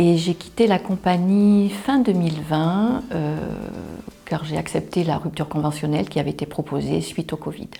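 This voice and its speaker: A woman's unremarkable speaking voice, fairly low in pitch, with ordinary pitch variation at a moderate pace. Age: 50s. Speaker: job seeker, former flight attendant. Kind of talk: self-presentation interview.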